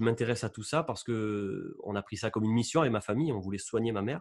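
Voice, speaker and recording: Over a quiet background, a man with a medium pitch talks at a very fast pace. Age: 30s. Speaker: YouTuber on electromagnetic waves. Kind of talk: interview with screen-shared presentation. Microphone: studio mic.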